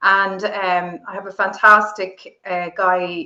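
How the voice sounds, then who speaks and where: A woman speaks with an Irish accent at a fairly slow pace. Her medium-pitched voice stays monotone and flat. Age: 50s. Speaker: entrepreneur and political commentator. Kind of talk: interview. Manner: articulate; halting.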